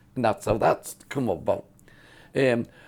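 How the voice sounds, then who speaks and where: With a Cumbrian accent, a man talks at a moderate pace. His medium-pitched voice has a dark, mellow tone. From northern England, Carlisle. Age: 70s. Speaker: fairground showman. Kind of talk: storytelling interview. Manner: casual, halting with repetitions.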